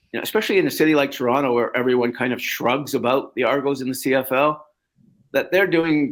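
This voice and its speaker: With a Canadian accent, a man with a fairly high pitch and ordinary pitch variation speaks in an unremarkable speaking voice on a very clean recording with a silent background. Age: 60s. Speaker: sports journalist. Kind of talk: podcast interview.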